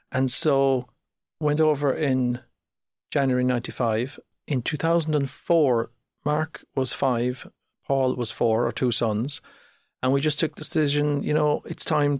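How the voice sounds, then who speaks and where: A speaker with a Cork accent talks at a moderate pace with very even loudness and fairly even intonation. The recording is very clean and dry, close with no echo, over a silent background. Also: man. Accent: Cork Irish. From Ireland, North Cork. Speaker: startup founder. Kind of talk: podcast interview.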